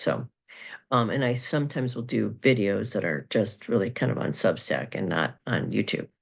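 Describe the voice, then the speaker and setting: This woman talks at a moderate pace with vocal fry and lively intonation. Her pitch is very deep and low, and the background is quiet. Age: 50s. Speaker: astrologer and psychic. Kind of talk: casual monologue video. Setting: recorded video. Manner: halting, many fillers.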